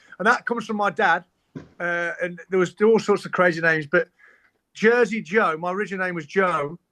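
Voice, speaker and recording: A man with an East Midlands accent speaks at a fairly quick pace in a raised, projected voice that is high, bright and sharp, with fairly even intonation. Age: 40s. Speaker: musician. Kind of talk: casual chat. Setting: podcast recording. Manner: fast.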